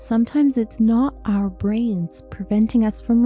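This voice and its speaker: A woman speaks in a calm tone at a fairly slow pace. Music plays in the background. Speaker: sleep coach. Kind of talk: guided sleep meditation. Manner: calm, slow.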